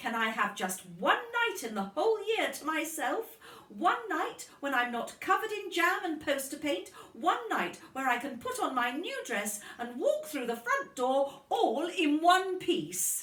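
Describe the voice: Putting on a character voice, a woman talks at a fairly slow pace in a high pitch with big pitch swings and a fairly bright tone, amid audible room echo. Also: few pauses.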